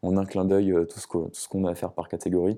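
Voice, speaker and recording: At a moderate pace, a man speaks in a very deep, low voice with a dark, mellow tone and monotone, flat intonation. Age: 20s. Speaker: student and podcaster. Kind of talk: casual interview. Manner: halting.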